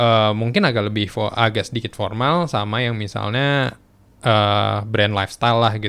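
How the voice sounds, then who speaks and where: At a moderate pace, a man talks in an ordinary speaking voice with fairly even intonation. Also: fairly low pitch for a man. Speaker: podcast host, former radio announcer. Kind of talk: casual interview. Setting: recorded at night.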